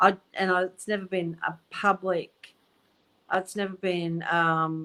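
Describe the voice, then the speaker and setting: Using a plain, everyday voice, a woman speaks fairly slowly in a fairly low pitch with fairly even intonation. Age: 60s. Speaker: psychic medium. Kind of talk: casual chat.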